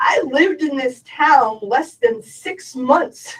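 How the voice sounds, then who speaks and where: A woman at a very slow pace with very wide pitch swings. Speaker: parent speaking at public comment. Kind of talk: public comment at board meeting.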